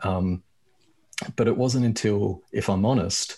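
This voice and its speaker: An Australian accent at a moderate pace, with ordinary pitch variation and a quiet background. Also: man. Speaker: activist. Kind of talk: casual chat.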